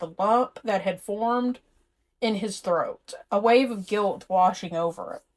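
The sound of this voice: Behind an unforced reading voice, the background stays quiet.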